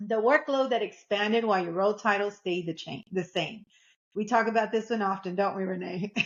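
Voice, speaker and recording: A woman with a Texas accent talks at a fairly quick pace, her medium pitch showing ordinary variation. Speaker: podcast co-host. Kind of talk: podcast discussion.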